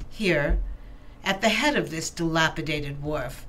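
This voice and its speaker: A woman talks fairly slowly, her intonation lively, with noticeable noise in the background. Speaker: voice actor. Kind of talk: classic literature reading.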